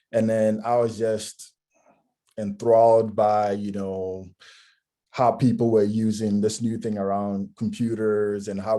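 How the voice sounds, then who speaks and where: A man speaks in a dark, mellow tone with monotone, flat intonation, captured in a very clean recording with a silent background. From Ghana. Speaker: technology consultant. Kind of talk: career talk. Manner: many filler words.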